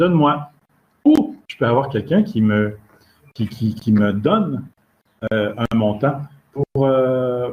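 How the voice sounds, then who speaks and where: Somewhat breathy and with very wide pitch swings, a man speaks with a Quebec accent. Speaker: standards expert and lecturer. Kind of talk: lecture. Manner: halting, with fillers and repetitions.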